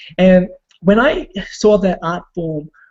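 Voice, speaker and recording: With a non-native accent, a man speaks at a high pitch with ordinary pitch variation. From Australia (immigrant family). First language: not English. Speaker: online marketer and former break dancer. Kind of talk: personal story in a group video call. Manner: hesitant, many fillers.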